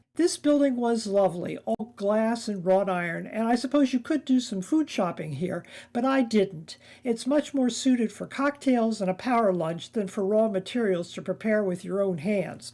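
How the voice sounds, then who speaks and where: A woman speaks at a moderate pace in a fairly high pitch, her tone dark and mellow, her intonation lively. The recording is very clean, with a silent background. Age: 70s. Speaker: travel vlogger. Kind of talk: scripted travel narration.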